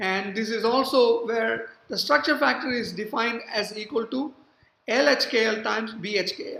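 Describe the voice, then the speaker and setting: A woman speaks in a fairly high pitch. Her pace is moderate, with ordinary pitch variation. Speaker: university professor. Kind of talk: lecture. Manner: hesitant, many fillers.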